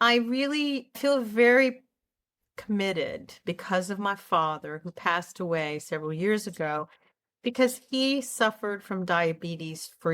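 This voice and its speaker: A plain, everyday voice carries lively intonation at a fairly slow pace. The recording is very clean, with a silent background. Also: woman. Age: 60s. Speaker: health psychologist and channel host. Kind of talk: casual talk to camera. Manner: earnest, conversational.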